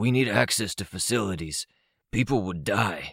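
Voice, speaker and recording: Doing a raspy put-on character voice, a man talks at a moderate pace with a fairly low pitch and lively intonation on a very clean recording with a silent background. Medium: read story. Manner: emotionless, matter-of-fact.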